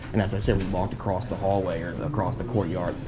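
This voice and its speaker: Speaking at a very fast pace, a man is heard with audible room echo and noticeable background noise. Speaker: camera auditor, YouTuber. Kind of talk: street confrontation, casual argument with police. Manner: loud; fast, animated.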